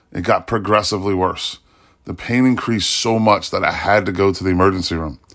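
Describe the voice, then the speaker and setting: A man speaks in a plain, everyday voice with a fairly low pitch. His pace is moderate and his pitch variation ordinary. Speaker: blogger. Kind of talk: personal blog narration, reflective testimony about illness and faith. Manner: earnest, sincere, fervent.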